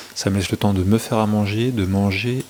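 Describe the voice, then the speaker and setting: Against noticeable background noise, a man talks in a fairly low pitch with monotone, flat intonation. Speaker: fitness and nutrition vlogger. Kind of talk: casual vlog monologue. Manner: hesitant, many fillers; speaking softly.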